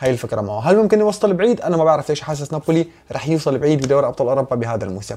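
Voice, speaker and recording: A man with a Syrian accent, high-pitched, with a dark, mellow tone. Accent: Syrian (Levantine) Arabic. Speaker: football YouTuber. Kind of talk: casual Q&A. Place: home room.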